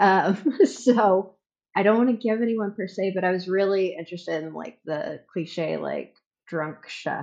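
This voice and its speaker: A woman's medium-pitched voice with vocal fry and lively intonation, at a fairly slow pace. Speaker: medical office worker. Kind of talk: casual chat.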